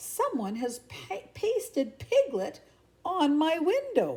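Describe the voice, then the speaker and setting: A woman performs a put-on character voice. She speaks high for a woman, at a very slow pace. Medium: read story. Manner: pompous.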